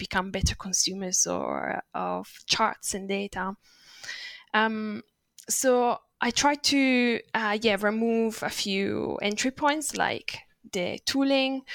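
Recorded very cleanly against a silent background, an Italian accent comes through with a dry, close sound and no echo. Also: woman. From Italy. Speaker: designer and illustrator. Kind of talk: interview conversation.

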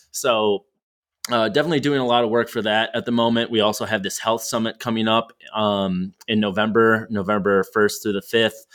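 In a very clean recording with a silent background, a man with a plain, everyday voice and medium pitch talks at a fairly quick pace with fairly even intonation. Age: 20s. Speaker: sales executive. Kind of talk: casual interview chat.

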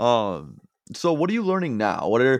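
A man speaks in an ordinary speaking voice at a moderate pace. His intonation is lively, and the background is quiet. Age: 20s. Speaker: podcast host. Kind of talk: podcast interview. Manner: casual.

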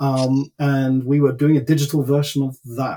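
Here a man is speaking. His tone is dark and mellow, somewhat breathy. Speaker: former consultant and business executive. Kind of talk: casual interview chat.

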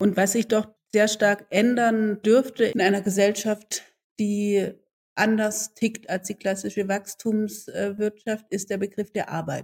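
Speaking very slowly, a woman with a medium pitch keeps a flat, monotone intonation. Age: 40s. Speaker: podcast host and entrepreneur. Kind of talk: interview.

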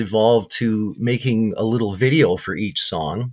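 A man in a normal speaking voice with a Canadian accent, medium pitch and a fairly slow pace. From Canada, Winnipeg. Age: 60s. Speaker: guitarist. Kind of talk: casual chat.

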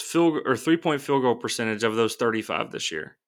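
With lively intonation and a normal speaking voice, a man talks at a moderate pace. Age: 30s. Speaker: sports podcast co-host. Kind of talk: casual chat. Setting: remote recording.

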